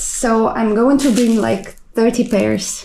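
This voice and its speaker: A woman speaks at a very slow pace in a high voice, with audible room echo and noticeable background noise. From Kazakhstan. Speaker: cruise ship crew member vlogger. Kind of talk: vlog narration.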